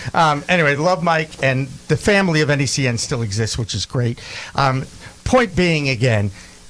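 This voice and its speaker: In a normal speaking voice, a fairly high-pitched man speaks at a moderate pace with lively intonation. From Boston. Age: 60s. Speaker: podcast host. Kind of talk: casual chat.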